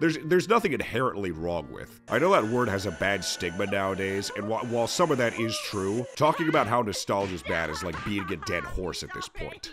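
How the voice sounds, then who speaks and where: Very wide pitch swings at a fairly quick pace, with music in the background. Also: man. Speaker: video game reviewer. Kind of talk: video essay narration. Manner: casual.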